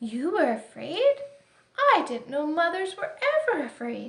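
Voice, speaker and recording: A put-on character voice with a timid tone at a fairly slow pace. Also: woman, extremely high pitch for a woman. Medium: read story. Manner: polite, timid.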